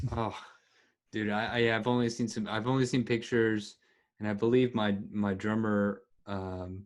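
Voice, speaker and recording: Over a quiet background, a man with an American accent talks at a moderate pace in a fairly low pitch, his intonation monotone and flat. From Texas. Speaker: podcast host and musician. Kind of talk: casual interview chat. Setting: video call.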